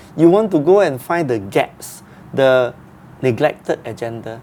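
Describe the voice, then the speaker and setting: An intonation full of life, set against noticeable background noise. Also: man. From Singapore. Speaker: social entrepreneur, sanitation activist. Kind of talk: interview.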